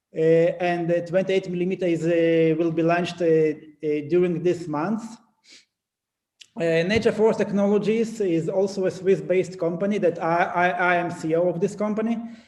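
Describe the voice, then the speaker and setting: Moderately paced speech from a man, high in pitch, with fairly even intonation. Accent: non-native. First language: not English. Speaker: company CEO, conference speaker. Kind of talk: conference presentation. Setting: conference. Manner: halting, many fillers and restarts.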